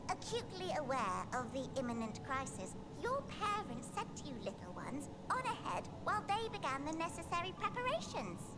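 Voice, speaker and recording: A high-pitched, female-sounding put-on character voice over loud background noise. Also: moderate pace. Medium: game stream. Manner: chipper, condescending, whimsical.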